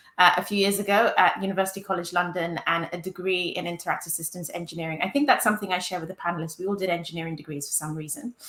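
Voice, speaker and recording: A woman with a fairly low pitch talks very fast with hardly any pauses. Her loudness swings widely over noticeable background noise. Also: ordinary pitch variation. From UK. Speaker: user experience director, panelist. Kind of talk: panel discussion.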